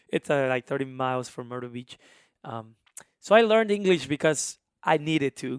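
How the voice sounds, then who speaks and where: A man with a strong Honduran accent talks at a moderate pace and a fairly high pitch with lively intonation, on a very clean recording with a silent background and dry, close sound with no echo. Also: big swings in loudness. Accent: thick Spanish (Honduran). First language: Spanish. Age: 20s. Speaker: musician and immigration advocate. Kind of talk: casual interview chat. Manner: animated.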